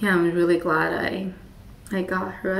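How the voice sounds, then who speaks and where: A woman is speaking in a room with audible echo and noticeable background noise. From Taiwan. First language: Mandarin. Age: 30s. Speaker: plant hobbyist vlogger. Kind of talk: casual show and tell. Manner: hesitant, many fillers.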